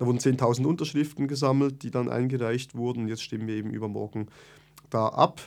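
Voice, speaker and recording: This man's delivery comes at a fairly quick pace. The intonation remains fairly even throughout. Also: medium pitch for a man. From Switzerland, Bern. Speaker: activist. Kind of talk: interview. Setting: studio.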